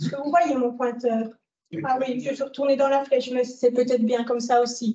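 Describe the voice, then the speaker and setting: A woman's high voice, dark and mellow in tone, with a slight Italian accent. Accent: French slightly affected by daily Italian. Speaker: dam engineer. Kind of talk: lecture. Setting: lecture hall with audience. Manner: hesitant, many fillers.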